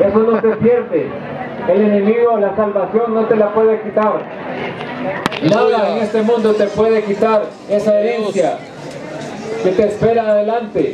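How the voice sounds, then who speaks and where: A man speaks in a high, monotone voice with flat intonation at a moderate pace. He pauses long and often, and background noise is noticeable. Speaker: preacher. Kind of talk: sermon to inmates, preaching from the Bible.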